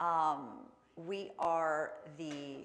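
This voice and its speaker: The voice belongs to a woman with a fairly low pitch. Room echo is audible. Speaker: wildlife educator. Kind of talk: educational presentation.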